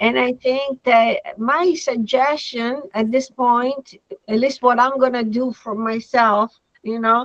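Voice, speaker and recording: In an Italian accent, a woman speaks very slowly at a high pitch with fairly even intonation. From Italy. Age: 60s. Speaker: veterinary dermatologist. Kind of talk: lecture. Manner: halting.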